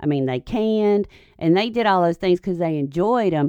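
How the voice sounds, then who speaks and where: With an American accent, an unremarkable speaking voice moves at a fairly quick pace with lively intonation. The sound is dry and close with no echo over a quiet background. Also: woman. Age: 50s. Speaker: parenting commentator. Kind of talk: casual chat.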